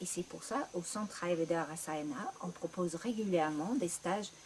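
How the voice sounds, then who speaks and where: With a British accent, a woman talks at a fairly slow pace, her intonation lively. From Great Britain. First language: English (speaking French). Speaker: ayurveda practitioner. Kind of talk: promotional talk.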